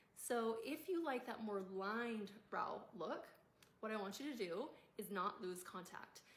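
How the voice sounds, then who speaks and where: The pitch varies in an ordinary way, with audible room echo around the voice. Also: woman. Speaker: makeup tutorial creator. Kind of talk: tutorial.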